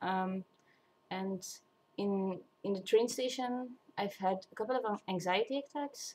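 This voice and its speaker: With a non-native accent and long, frequent pauses, a woman talks at a fairly slow pace, her medium pitch showing ordinary variation. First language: not English. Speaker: vlogger. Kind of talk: casual monologue. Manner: halting, many fillers and restarts.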